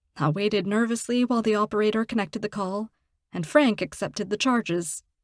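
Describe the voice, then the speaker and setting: In a very clean recording with a silent background, a woman uses a normal speaking voice at a fairly high pitch, talking at a fairly quick pace with ordinary pitch variation. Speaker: voice actor, audiobook narrator. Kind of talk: audiobook narration.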